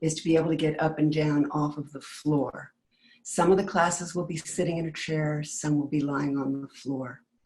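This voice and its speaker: The pace is moderate. Intonation stays monotone and flat. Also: woman, very deep, low pitch for a woman. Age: 70s. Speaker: movement class instructor. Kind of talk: class preview talk. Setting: webinar.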